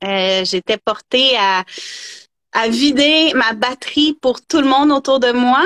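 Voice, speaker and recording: A woman's high-pitched voice in a Quebec accent, with lively intonation, a very slow pace and long, frequent pauses. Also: very even loudness, dry, close sound with no echo. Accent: Québécois. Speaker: energy therapist. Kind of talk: interview, personal story.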